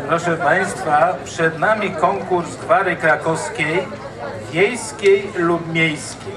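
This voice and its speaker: Very slow speech over noticeable background noise. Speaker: event host. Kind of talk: stage announcement. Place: stage. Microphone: pa.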